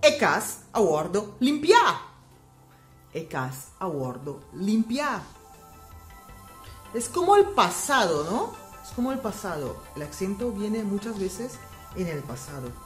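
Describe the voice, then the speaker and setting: Speech comes at a very slow pace with long, frequent pauses. Pitch swings very widely, loudness rises and falls sharply, and music plays in the background. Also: woman, medium pitch for a woman. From Aruba. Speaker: language teacher vlogger. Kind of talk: casual language lesson to camera.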